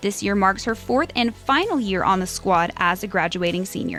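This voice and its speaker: Music plays in the background as a woman speaks at a moderate pace. Her pitch is medium, with ordinary pitch variation. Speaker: sports reporter. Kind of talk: sports news report voiceover.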